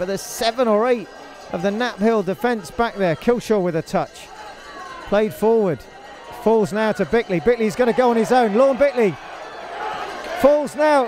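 A man speaks at a high pitch with lively intonation and long, frequent pauses. Noticeable background noise runs underneath. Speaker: football commentator. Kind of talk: live football match commentary. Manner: clipped, breathless short phrases during attacks, calmer analysis after goals.

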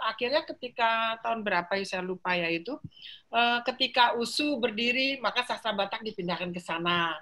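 A woman speaks fairly quickly with lively intonation. Her tone is bright and sharp. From Jakarta, Indonesia. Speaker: professor of philology. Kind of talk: interview. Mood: cheerful, animated. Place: home room. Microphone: video call.

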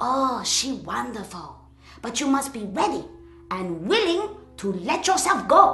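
A female-sounding voice at high pitch moves through very wide pitch swings at a fairly slow pace. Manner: brusque, then warm.

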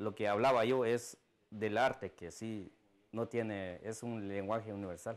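This man has a fairly low pitch and fairly even intonation, and he talks at a fairly slow pace. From Guatemala. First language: Mam (Mayan language) (speaking Spanish). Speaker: artist. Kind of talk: interview soundbite. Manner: halting.

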